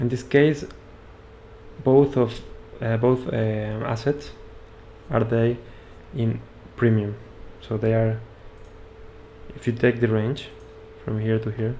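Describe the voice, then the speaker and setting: Using a monotone, flat intonation, a man with a Spanish accent and medium pitch speaks at a very slow pace with long, frequent pauses. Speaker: trading educator. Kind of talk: live stream trading analysis. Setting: live stream with screen share. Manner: halting.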